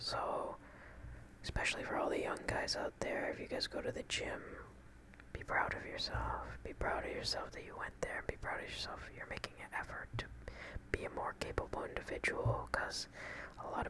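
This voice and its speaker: A man whispers over noticeable background noise. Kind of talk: ASMR relaxation and affirmation talk to camera. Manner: soft-spoken, calming.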